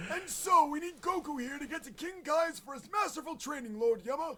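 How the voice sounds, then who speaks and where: Over clear background noise, a man does a put-on character voice at an extremely high pitch and a fairly quick pace. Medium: fan dub. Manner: polite, put-upon.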